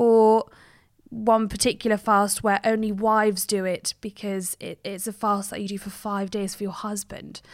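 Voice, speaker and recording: A woman with a southern English accent speaks at a moderate pace and medium pitch, her intonation monotone and flat but her loudness swinging widely, in a very clean recording with a silent background. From England, Cheltenham, Gloucestershire. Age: 30s. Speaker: journalist. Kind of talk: interview.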